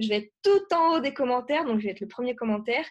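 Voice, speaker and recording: A woman talks at a fairly quick pace with an unremarkable speaking voice. Her pitch varies in an ordinary way. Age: 20s. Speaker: web entrepreneur and YouTuber. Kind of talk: podcast interview.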